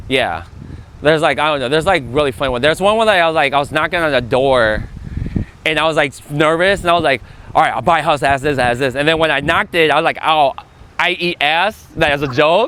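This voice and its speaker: Very fast speech from a man pitched fairly high cuts through noticeable background noise. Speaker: real estate agent. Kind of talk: panel talk at event. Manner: casual, filler-heavy; stutters at times.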